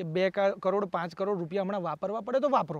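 A man's high-pitched voice, with a dry sound and no echo. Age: 30s. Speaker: independent election candidate; election candidate. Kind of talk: interview. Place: open country. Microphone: lapel.

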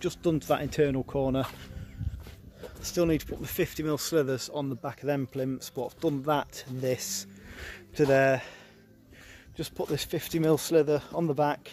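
Against light background noise and a dry sound with no echo, a man talks at a moderate pace with fairly even intonation and long, frequent pauses. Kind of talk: casual vlog chat explaining work. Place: street. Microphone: phone near.

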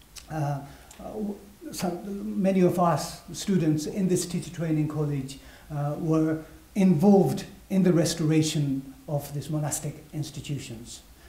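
A man at a fairly slow pace with ordinary pitch variation and audible room echo. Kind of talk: interpreted lecture. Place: hall.

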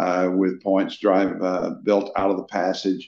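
A man's fairly low-pitched voice at a fairly slow pace, with audible room echo. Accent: American. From Texas. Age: 70s. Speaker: pastor. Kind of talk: interview. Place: office. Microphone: video call.

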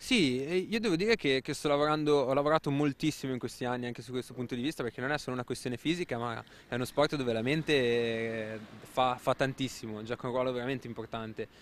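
Light background noise accompanies a man speaking at a very fast pace with fairly even intonation, the sound dry with no echo. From Genoa, Italy; Italy. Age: 20s. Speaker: motorcycle racer. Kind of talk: interview. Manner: halting, repeats words. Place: street. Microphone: handheld.

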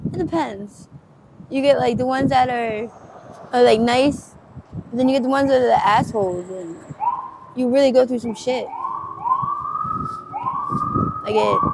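A woman speaks at a moderate pace with ordinary pitch variation and long, frequent pauses, the sound dry with no echo against loud background noise. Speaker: interviewee. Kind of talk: interview answer. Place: street. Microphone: phone near.

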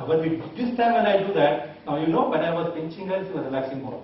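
A man talks at a very fast pace with a fairly high pitch. Light background noise and audible room echo are present. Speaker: hypnotist teacher. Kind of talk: hypnosis induction. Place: hall. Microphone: camera far.

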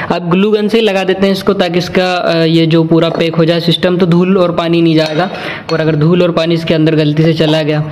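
A man's high voice, monotone and flat, at a moderate pace with very even loudness and hardly any pauses. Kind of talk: tutorial. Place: home room. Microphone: phone near.

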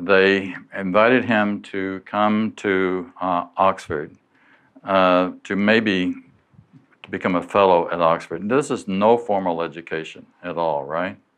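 Over a quiet background, a man with a very deep, low voice speaks at a very slow pace with ordinary pitch variation. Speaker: lecturer. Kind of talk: lecture. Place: hall.

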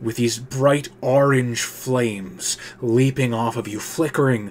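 Fairly even intonation, in reading aloud in a natural voice

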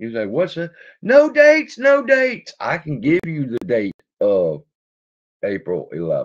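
Against a quiet background, a man with a Louisiana accent speaks at a fairly slow pace, his loudness rising and falling sharply. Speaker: stock market YouTuber; stock market livestreamer. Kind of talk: casual livestream chat reading. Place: home room. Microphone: webcam.

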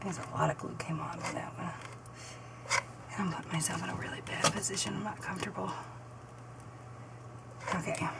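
A woman with a fairly low pitch and vocal fry speaks at a fairly quick pace with fairly even intonation and long, frequent pauses, against clear background noise.

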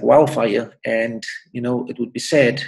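Against a quiet background, a man with vocal fry speaks at a moderate pace with fairly even intonation. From South Africa, Cape Town (Manenberg); South Africa. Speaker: doctor. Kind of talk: interview; interview answer. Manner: hesitant with repetitions. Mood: calm, advisory. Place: home room. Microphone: webcam.

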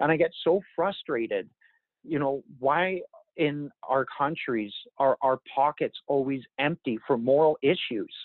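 At a fairly slow pace, a man speaks with a fairly high pitch, ordinary pitch variation and very even loudness, the sound dry with no echo and the background quiet. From Yukon, northern Canada. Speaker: First Nation chief; interviewee. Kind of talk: interview. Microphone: earbuds.

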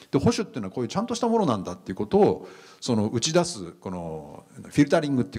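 A man with a Japanese accent, dark and mellow in tone, with very wide pitch swings against a quiet background. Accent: native Japanese. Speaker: professor. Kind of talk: lecture. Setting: stage with audience. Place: hall. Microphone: handheld.

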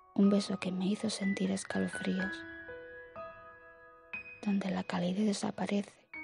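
A woman whispers, soft-spoken, at a fairly slow pace. Music plays in the background. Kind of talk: poetry reading. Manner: soft-spoken, half whisper; slow, relaxing.

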